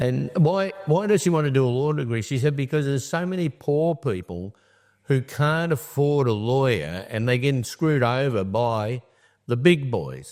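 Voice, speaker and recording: Lively intonation marks this man's Australian accent, delivered at a moderate pace and medium pitch. The recording is very clean with a silent background. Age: 70s. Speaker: charity founder. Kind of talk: interview.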